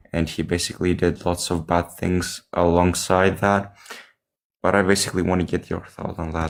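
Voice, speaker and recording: In a Greek accent, a man speaks at a very deep, low pitch and a moderate pace, his intonation monotone and flat. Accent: non-native English, Greek. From Greece. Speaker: caller. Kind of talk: call-in question. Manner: hesitant.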